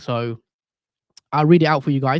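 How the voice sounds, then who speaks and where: Someone with a British accent speaks at a fairly quick pace. The sound is dry and close, with no echo. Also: man. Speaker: fantasy football streamer. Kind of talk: live stream chat. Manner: casual, conversational.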